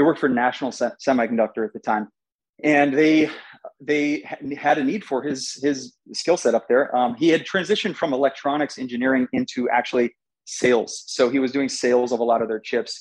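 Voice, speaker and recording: With an American accent, a man speaks in an unremarkable speaking voice at a medium pitch, fairly quickly and with ordinary pitch variation. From Southern California, US. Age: 30s. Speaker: finance partner and former military. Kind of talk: casual interview.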